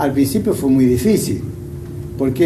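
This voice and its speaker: Recorded with noticeable background noise and audible room echo, a man speaks at a fairly high pitch. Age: 70s. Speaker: retired bank employee. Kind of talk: interview testimony. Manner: halting, many fillers and repetitions.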